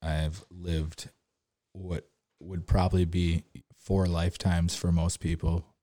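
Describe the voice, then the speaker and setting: Dry and close with no echo, a man with a very deep, low pitch and a dark, mellow tone speaks in a monotone, flat intonation with long, frequent pauses. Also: fairly slow pace. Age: 30s. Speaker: podcast host. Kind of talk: casual monologue. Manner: rambling, casual.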